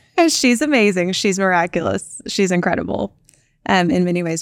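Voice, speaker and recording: A woman talks at a moderate pace with a fairly low pitch and an unremarkable speaking voice. The recording is very clean, with a silent background. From Texas Panhandle. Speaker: startup founder and CEO. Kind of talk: interview.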